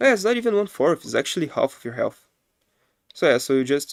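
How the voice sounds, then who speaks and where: A man with a non-native accent talks at a fairly quick pace with lively intonation, and the sound is dry and close with no echo. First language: not English. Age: 20s. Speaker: game streamer. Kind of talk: live gameplay commentary. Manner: casual, thinking aloud.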